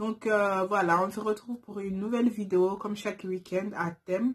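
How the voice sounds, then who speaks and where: This woman speaks at a fairly slow pace in a medium pitch. Her intonation is fairly even, and her voice is somewhat breathy. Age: 20s. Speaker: YouTuber, turban stylist. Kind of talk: casual vlog Q&A. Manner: hesitant, many fillers.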